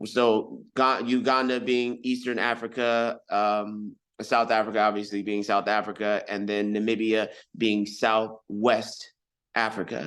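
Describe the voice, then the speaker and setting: Against a quiet background, a man with an American accent speaks at medium pitch in a monotone, flat way and at a fairly slow pace. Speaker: hip hop recording artist. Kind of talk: interview. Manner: halting, many fillers.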